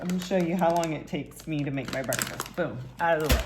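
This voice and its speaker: A mumbling woman at a fairly low pitch, with noticeable background noise and audible room echo. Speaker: fitness and nutrition coach. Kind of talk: cooking tutorial. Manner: casual, conversational.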